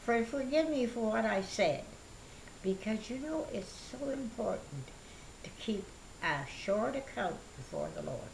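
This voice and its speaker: A woman talks at a fairly slow pace with long, frequent pauses, and room echo can be heard. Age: 80s+. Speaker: elderly church member. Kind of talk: interview testimony. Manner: halting.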